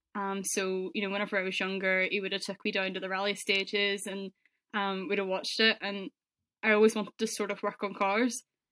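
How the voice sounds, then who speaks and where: This woman, with a Northern Irish accent, has a bright, sharp tone at a medium pitch and a monotone, flat intonation. She talks at a fairly quick pace, in a dry, close sound with no echo. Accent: Northern Irish (Belfast). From Northern Ireland, Belfast. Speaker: car paint sprayer. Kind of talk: interview.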